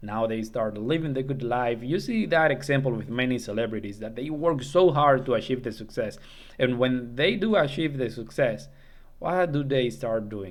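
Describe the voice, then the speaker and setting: A man speaks at a moderate pace with a non-native accent, his pitch medium and its variation ordinary. Audible room echo surrounds his voice. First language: not English. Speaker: self-improvement YouTuber. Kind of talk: casual monologue tutorial. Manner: halting, with fillers and false starts.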